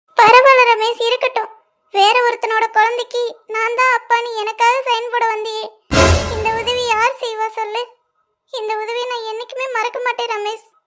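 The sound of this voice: In a cartoonish character voice, a woman speaks fairly slowly at an extremely high pitch with monotone, flat intonation.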